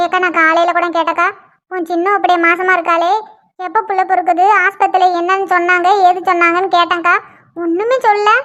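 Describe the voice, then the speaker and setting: In a cartoonish character voice, a woman speaks at an extremely high pitch and a moderate pace with monotone, flat intonation. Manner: emphatic, plaintive, says "ஏக்கா" often.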